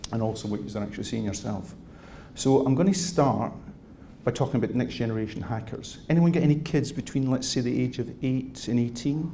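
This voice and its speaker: In a Scottish accent, a man with a dark, mellow, somewhat breathy tone speaks at a fairly quick pace with ordinary pitch variation, amid audible room echo. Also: medium pitch for a man. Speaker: cybersecurity industry speaker. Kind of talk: keynote talk.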